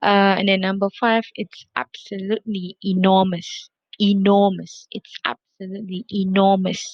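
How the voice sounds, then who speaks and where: Fairly slow, monotone speech with flat intonation and a non-native accent, in a dry, close sound with no echo. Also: woman. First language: not English. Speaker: English lecturer. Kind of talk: recorded video lecture. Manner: repetitive, with many fillers.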